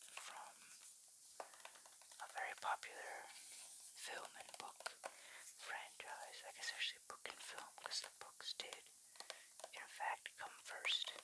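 Whispering comes at a very slow pace, with long, frequent pauses. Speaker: ASMR creator. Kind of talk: ASMR soft-spoken show-and-tell of a collectible. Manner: soft-spoken, whispering.

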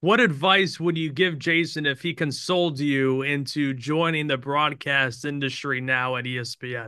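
An American-accented man speaks at a fairly slow pace with ordinary pitch variation and hardly any pauses against a quiet background. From Albany, New York. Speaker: podcast host. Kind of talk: interview. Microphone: video call.

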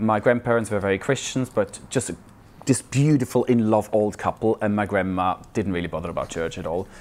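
Speaking with a Swiss accent at a fairly quick pace, a man uses a fairly low pitch and ordinary pitch variation. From Switzerland. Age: 40s. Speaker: churchgoer sharing faith story; guest. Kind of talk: testimony. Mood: warm, reflective. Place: hall.

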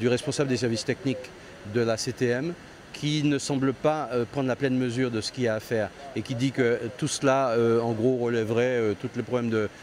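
A man talks with fairly even intonation over light background noise. The sound is dry, with no echo. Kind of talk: interview answer. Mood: concerned, questioning. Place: open country. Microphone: handheld.

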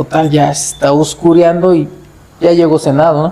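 A man with a fairly high pitch at a moderate pace. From Mexico, Cuitzeo, Michoacán; Michoacán, Mexico. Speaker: festival committee president; storyteller guest or host. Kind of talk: storytelling; casual chat. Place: home room. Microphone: lapel.

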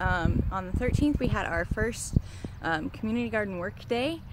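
A dry recording with no echo, a moderate pace and noticeable background noise. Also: woman. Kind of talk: casual vlog update. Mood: cheerful, occasional laughs. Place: garden. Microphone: phone near.

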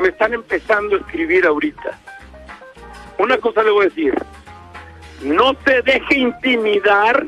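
The speech moves along at a moderate pace while background music plays. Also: man. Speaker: radio host. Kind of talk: live radio show.

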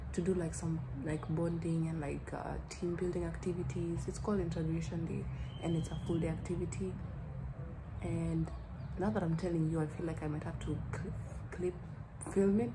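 Noticeable background noise fills the recording. Over it, a woman speaks fairly quickly. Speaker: student vlogger. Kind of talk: casual vlog chat. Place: home room. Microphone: phone near.

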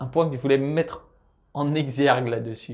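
A man in a plain, everyday voice, fairly high in pitch, at a moderate pace with fairly even intonation against a quiet background. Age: 20s. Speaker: personal finance youtuber. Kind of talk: tutorial. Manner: casual, addresses viewer as tu.

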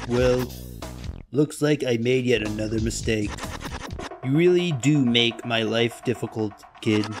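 A man puts on a strained character voice at medium pitch, talking at a moderate pace with long, frequent pauses over clear background noise. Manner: smug, scornful.

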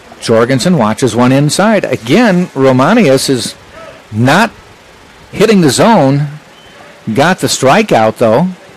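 Amid noticeable background noise, a man with a fairly high pitch speaks at a very slow pace, with very wide pitch swings, very even loudness and long, frequent pauses. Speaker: play-by-play announcer. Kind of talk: live sports play-by-play commentary. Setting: broadcast booth at a college baseball game. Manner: brisk, fluent, descriptive pitch-by-pitch calls.

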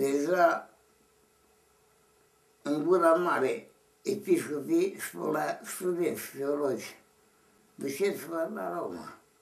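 A man speaks at a very slow pace with long, frequent pauses, and audible room echo surrounds his voice. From Romania. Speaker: Orthodox monk elder. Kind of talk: interview answer. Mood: grave, earnest. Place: home room. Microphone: camera far.

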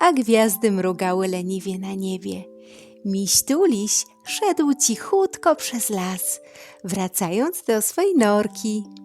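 Music plays behind a woman speaking at a medium pitch. Her pace is very slow and her intonation lively. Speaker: storyteller. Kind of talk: bedtime story reading. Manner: soft, calming.

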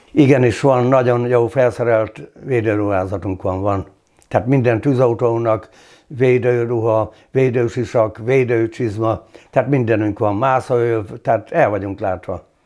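A man speaks very slowly in a dark, mellow tone. His intonation stays fairly even against a quiet background. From Hungary, Szabolcs county (Geszteréd); Hungary. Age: 60s. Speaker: retired volunteer fire chief; former councillor. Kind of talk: interview. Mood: calm, reflective. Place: home room.

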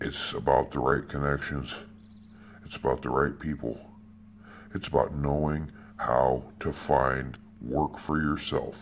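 An American accent at a fairly slow pace, flat and monotone, broken by long, frequent pauses, with light background noise. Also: man, very deep, low pitch for a man. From United States. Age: 50s. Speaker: security guard and odd-job worker. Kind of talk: personal testimony monologue. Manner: emphatic, repetitive. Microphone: phone near.

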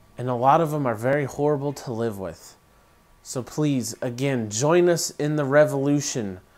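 A man's speech shows ordinary pitch variation and moves at a moderate pace. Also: fairly high pitch for a man. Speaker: co-founder of a gluten-free food channel, vlogger; vlogger. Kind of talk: casual vlog monologue. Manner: hesitant, many fillers. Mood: earnest, urging.

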